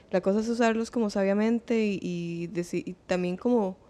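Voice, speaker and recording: A woman speaks at a fairly slow pace. Her tone is dark and mellow, with ordinary pitch variation. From Costa Rica, Pérez Zeledón (San Isidro del General); Costa Rica. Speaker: singer-songwriter, multi-instrumentalist; podcast guest. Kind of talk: casual interview. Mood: relaxed, reflective. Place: studio. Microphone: studio mic.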